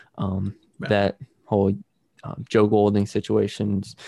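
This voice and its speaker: Against a quiet background, a man speaks at a fairly low pitch with a dark, mellow tone, and the sound is dry and close with no echo. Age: 20s. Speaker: sports podcast host. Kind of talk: casual sports chat.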